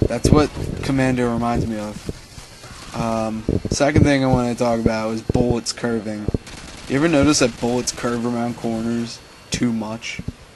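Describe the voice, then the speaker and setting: There is noticeable background noise behind this man. He speaks at medium pitch and a moderate pace. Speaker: gaming commentator. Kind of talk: gameplay commentary. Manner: hesitant, many fillers.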